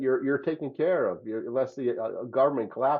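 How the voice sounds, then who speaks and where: The man talks at a fairly quick pace with fairly high pitch. He has an ordinary speaking voice. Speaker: podcast host. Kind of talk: casual chat. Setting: studio.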